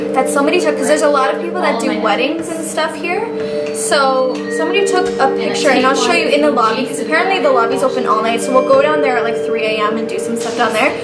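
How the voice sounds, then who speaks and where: Music plays in the background as the voice moves at a very fast pace. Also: woman. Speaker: vlogger. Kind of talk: casual vlog chat. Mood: excited, a bit spooked. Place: home room. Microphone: camera far.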